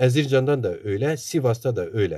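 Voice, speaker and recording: A man with an Eastern Anatolian accent speaks at medium pitch, somewhat breathy. His tone is dark and mellow, his intonation lively. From eastern Turkey, Sarcan (Zaza area). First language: Zazaki (speaking Turkish). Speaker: Zaza activist and author. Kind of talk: interview talk.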